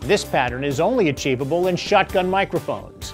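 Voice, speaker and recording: Faint music plays in the background as the voice moves at a moderate pace. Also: man. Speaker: video production instructor. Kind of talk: tutorial. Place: studio.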